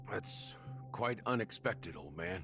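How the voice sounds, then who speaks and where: A raspy, put-on character voice with lively intonation at a moderate pace, over clear music in the background. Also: man, medium pitch for a man. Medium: video game. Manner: wry, bittersweet.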